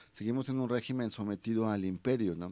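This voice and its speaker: His tone is dark and mellow. The man's pitch rises and falls in an ordinary way. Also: dry sound with no echo. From Mexico, Tehuacán, Puebla; Puebla, Mexico. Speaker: human rights and labor activist; guest. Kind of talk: radio interview. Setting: radio studio. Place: studio. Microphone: studio mic.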